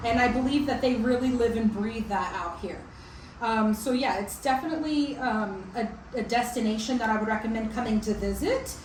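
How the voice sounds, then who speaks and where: Fairly quick speech amid audible room echo and noticeable background noise. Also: woman, fairly high pitch for a woman, ordinary pitch variation. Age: 40s. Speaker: vlogger. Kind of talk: casual chat. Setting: chat over coffee.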